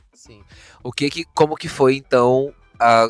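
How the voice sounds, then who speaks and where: A man speaks at a fairly slow pace with fairly even intonation. The sound is dry and close with no echo, and music plays in the background. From Brazil, Pará (Amazon). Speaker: psychology channel host. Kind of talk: casual interview conversation.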